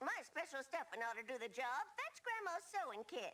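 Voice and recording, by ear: A woman puts on a cartoonish character voice, high-pitched and swinging very widely in pitch. Her loudness stays very even throughout. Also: moderate pace.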